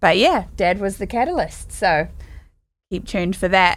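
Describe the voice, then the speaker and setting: Her tone is bright and sharp. This woman speaks at a medium pitch with lively intonation. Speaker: podcast co-host and musician. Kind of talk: casual podcast interview.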